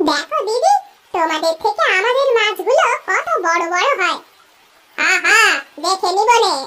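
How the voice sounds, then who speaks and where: A woman puts on a cartoonish character voice at an extremely high pitch, with lively intonation and a moderate pace. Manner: soft, reassuring.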